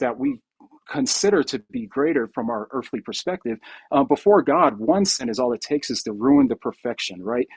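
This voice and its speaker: With lively intonation, the man keeps to a moderate pace. Behind him, the background is quiet. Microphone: video call.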